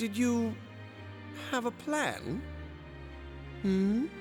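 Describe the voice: In a put-on character voice, a man speaks at extremely high pitch and a very slow pace, with ordinary pitch variation, a slightly mellow tone and faint music in the background.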